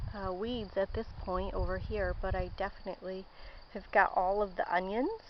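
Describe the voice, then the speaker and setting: This woman speaks at a medium pitch. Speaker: home gardener vlogger. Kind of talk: casual garden walkthrough vlog. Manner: hesitant, many fillers.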